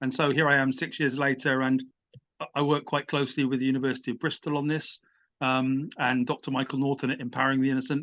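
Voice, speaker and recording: Against a quiet background, a man with an English accent and a medium pitch talks at a very fast pace. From England. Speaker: writer and musician. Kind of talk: interview. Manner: halting.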